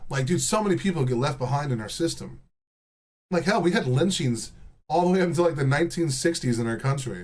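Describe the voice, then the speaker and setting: Here a man with an American accent speaks at a fairly quick pace in a fairly high pitch. His intonation is lively, and his voice has vocal fry. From Texas. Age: 30s. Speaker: livestreamer. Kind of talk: casual chat. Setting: live stream. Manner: animated.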